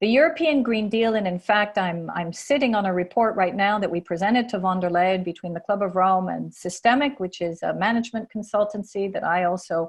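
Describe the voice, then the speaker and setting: Using an American accent, a woman talks at a fairly quick pace and medium pitch with ordinary pitch variation. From California, US (Palo Alto). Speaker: climate think-tank leader, keynote speaker. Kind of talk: conference talk / panel discussion. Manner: animated, with frequent repetitions.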